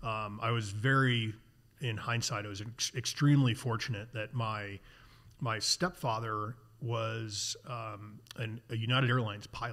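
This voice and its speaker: With an American accent, a man talks at a fairly slow pace in a bright, sharp tone, his intonation fairly even. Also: medium pitch for a man. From US Midwest, Chicago suburbs; Illinois. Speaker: outdoor industry executive and sailor; podcast guest. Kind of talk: casual interview conversation. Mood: relaxed, reflective storytelling. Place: garage. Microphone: studio mic.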